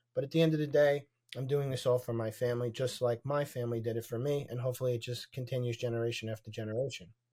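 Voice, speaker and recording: A man speaks at a very fast pace in a dark, mellow tone, his medium-pitched voice somewhat breathy and his intonation fairly even. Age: 40s. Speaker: real estate investor. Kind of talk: interview. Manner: hesitant with many fillers.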